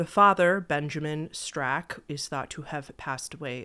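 At a fairly slow pace, a woman speaks in a very deep, low voice with a bright, sharp tone and ordinary pitch variation. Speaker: true crime video host. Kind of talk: storytelling commentary. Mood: serious, somber. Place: home room. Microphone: studio mic.

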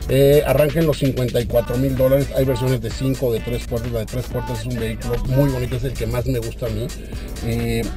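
A man at a moderate pace, dry sound with no echo, clear music in the background. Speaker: car reviewer, radio host. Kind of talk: commentary while test driving. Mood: enthusiastic. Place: car.

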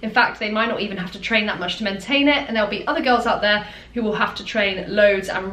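Over noticeable background noise and audible room echo, a woman talks at a very fast pace with medium pitch and fairly even intonation. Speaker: fitness influencer and online coach. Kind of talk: tutorial.

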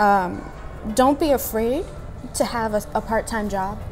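Clear music plays in the background while a woman speaks at a fairly slow pace. Her pitch variation is ordinary. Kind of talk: interview answer. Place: cafe.

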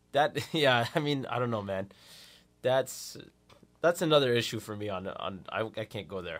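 A man talks at a medium pitch and moderate pace with lively intonation. His loudness swings widely, and his pauses are long and frequent. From Canada. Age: 20s. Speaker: radio co-host. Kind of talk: casual radio chat. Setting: radio studio. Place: studio. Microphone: studio mic.

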